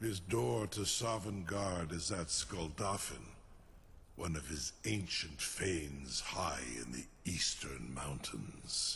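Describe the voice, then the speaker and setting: In a put-on character voice, a man speaks very slowly with a very deep, low pitch against clear background noise. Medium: video game. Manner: slow, measured, imperious.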